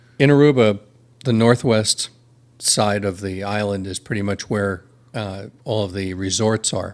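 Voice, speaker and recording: Over a very clean recording with a silent background, a man uses a normal speaking voice at a fairly slow pace with fairly even intonation. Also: fairly low pitch for a man. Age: 60s. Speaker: podcast guest. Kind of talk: casual chat.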